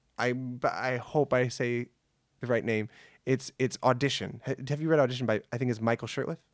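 On a very clean recording with a silent background, a man talks at medium pitch. His pace is fairly quick, and the sound is dry and close with no echo. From US, born in New York, raised in Michigan. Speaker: improv performer and actor. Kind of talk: casual interview chat. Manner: animated, jokey.

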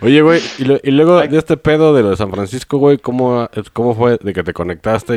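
This man's voice sits at a medium pitch and moves through very wide pitch swings. He keeps a fairly quick pace, and the sound is dry and close with no echo. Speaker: podcast co-host. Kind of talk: casual chat.

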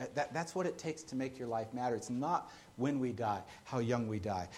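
Audible room echo surrounds a man who talks fairly quickly at medium pitch with ordinary pitch variation. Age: 30s. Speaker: pastor. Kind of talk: sermon. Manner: halting, frequent repeated words.

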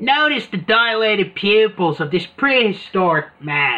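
Putting on a character voice, a man speaks at a high pitch and a moderate pace with very wide pitch swings. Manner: mock-documentary.

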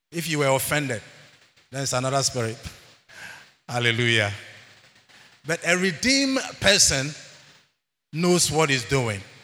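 With a bright, sharp tone and a fairly high pitch, a man speaks at a moderate pace with ordinary pitch variation. Long, frequent pauses break up his speech, and room echo is audible. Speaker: church elder preaching. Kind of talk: sermon. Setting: church. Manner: animated.

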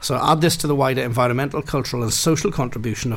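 A man with a Welsh accent speaks at a very fast pace against noticeable background noise. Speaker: farmer and radio co-host. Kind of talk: casual radio chat and news reading. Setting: studio.

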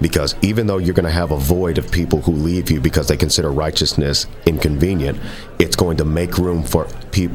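Amid noticeable background noise, a man with a very deep, low pitch talks at a fairly quick pace with fairly even intonation. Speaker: guest. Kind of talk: interview conversation.

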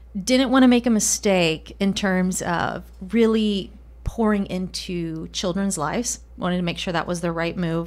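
Recorded very cleanly against a silent background, a woman speaks at a fairly slow pace in a Spanish accent with ordinary pitch variation. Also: medium pitch for a woman, hardly any pauses. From Colombia. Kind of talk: casual interview chat.

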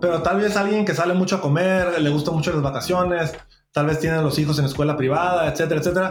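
A man with a high voice talks at a very fast pace, his loudness very even. His intonation is fairly even, and room echo is audible. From Mexico, Tijuana. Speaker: real estate broker. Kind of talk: interview.

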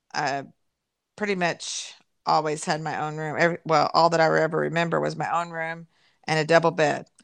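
At a moderate pace, a woman speaks with fairly low pitch over a quiet background. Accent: Kentucky. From Kentucky, Louisville area. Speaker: host's mother. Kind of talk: casual family interview, reminiscing.

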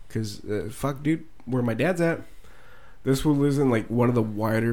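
This man's pitch varies in an ordinary way as he speaks at a moderate pace in an unremarkable speaking voice. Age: 20s. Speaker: podcast co-host. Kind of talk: casual chat.

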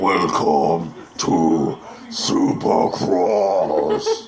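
Over clear background noise, a man growls in a put-on character voice.

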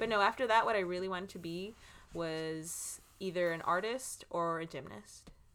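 With an American accent and an unremarkable speaking voice, a woman talks at a moderate pace and fairly low pitch, with ordinary pitch variation and big swings in loudness. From Los Angeles, California. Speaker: podcast co-host. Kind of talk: casual chat.

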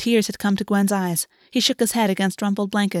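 With fairly even intonation, the text comes in an unforced reading voice.

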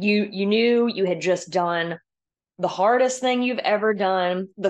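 Against a quiet background, a woman with an American accent talks in a plain, everyday voice at a medium pitch, a fairly slow pace and fairly even intonation. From US Southeast (Georgia). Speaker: obstacle course racer. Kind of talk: casual chat. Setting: audio call.

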